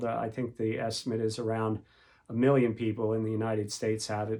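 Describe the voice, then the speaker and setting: On a very clean recording with a silent background, a man talks in a medium pitch with monotone, flat intonation. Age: 60s. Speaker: podcaster with Parkinson's disease. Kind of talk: casual monologue podcast. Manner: hesitant, many fillers.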